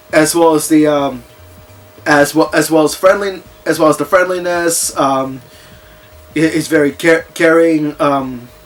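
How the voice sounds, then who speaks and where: Music plays behind a man with a fairly high pitch and fairly even intonation. He speaks fairly slowly, with long, frequent pauses. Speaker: video game reviewer. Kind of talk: casual unscripted movie review to camera. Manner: hesitant, stammering with pauses.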